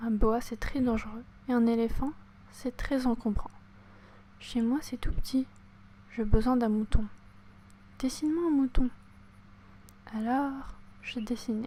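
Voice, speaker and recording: Whispering, the speaker goes at a very slow pace. Long pauses come often. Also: woman. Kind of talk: audiobook reading. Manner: whispered.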